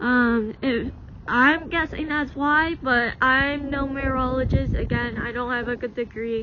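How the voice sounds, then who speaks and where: A woman with a high pitch speaks at a fairly slow pace over noticeable background noise. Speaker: amateur weather vlogger. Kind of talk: casual vlog commentary. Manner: halting, many fillers.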